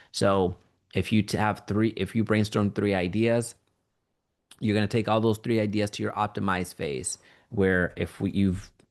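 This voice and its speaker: The man has a normal speaking voice, fairly low in pitch, with fairly even intonation. He talks at a moderate pace against a quiet background. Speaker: online course instructor. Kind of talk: tutorial.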